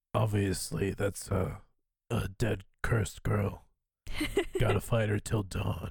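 Putting on a character voice, a man speaks gravelly, gruff and raspy with a fairly low pitch at a fairly slow pace with long, frequent pauses.

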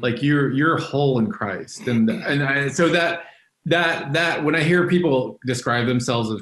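In a normal speaking voice with an American accent, the speaker goes at a fairly slow pace with lively intonation. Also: man. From Texas, Dallas. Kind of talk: interview testimony.

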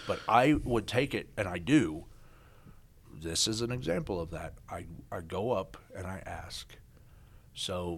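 With a Midwestern US accent, a man speaks using lively intonation. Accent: US Midwest. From Kansas. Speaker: business owner. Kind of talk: casual interview.

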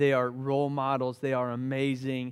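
Over a silent background on a very clean recording, a man speaks with a Southern US accent. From US South, Charleston, South Carolina. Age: 30s. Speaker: pastor. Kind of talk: sermon. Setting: church.

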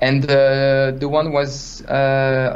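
Over noticeable background noise, a man with a French accent speaks at a fairly high pitch. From France. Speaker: 3D artist. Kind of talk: casual interview. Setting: video call. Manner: halting.

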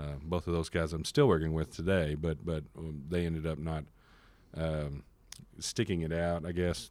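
The delivery is monotone and flat at a moderate pace. It carries a Texan accent. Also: man. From Texas, Fort Worth. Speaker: music marketing and distribution manager. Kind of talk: interview. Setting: studio. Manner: halting, many fillers and repetitions.

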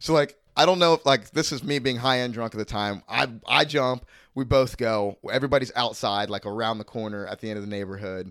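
Using a normal speaking voice, a man talks fairly quickly at a medium pitch that moves in an ordinary way. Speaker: comedian. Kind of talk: casual chat.

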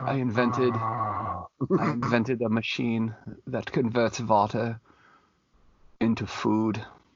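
Putting on a guttural character voice in a German accent, a man speaks fairly slowly at a medium pitch in a flat monotone, with long, frequent pauses. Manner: dramatic, rasping.

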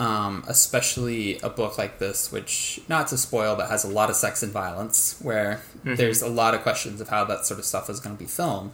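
A man with an ordinary speaking voice talks at medium pitch and a fairly quick pace, with ordinary pitch variation and hardly any pauses. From Texas, Waco. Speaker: novelist. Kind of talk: casual interview.

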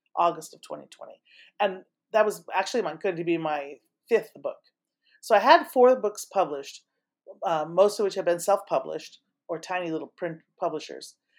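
A woman with an American accent and medium pitch speaks at a moderate pace with ordinary pitch variation. Long, frequent pauses and big swings in loudness come through in a very clean recording with a silent background. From California, Saratoga. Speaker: novelist, retired teacher. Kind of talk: interview chat.

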